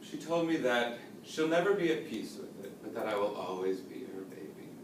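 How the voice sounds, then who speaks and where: Amid noticeable background noise and audible room echo, a man talks at a moderate pace with very wide pitch swings. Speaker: college student. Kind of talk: speech.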